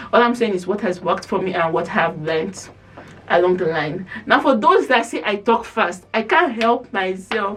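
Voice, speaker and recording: Noticeable background noise under moderately paced speech in an animated tone. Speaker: lifestyle vlogger. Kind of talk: casual vlog advice talk.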